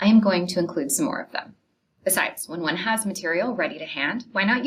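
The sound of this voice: Over a quiet background, someone reads in an unforced voice.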